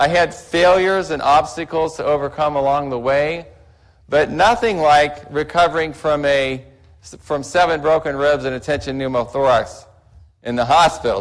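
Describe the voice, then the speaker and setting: Pitch rises and falls in an ordinary way. The delivery is moderately paced. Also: man. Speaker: dentist. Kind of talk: lecture. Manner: halting, repeats words.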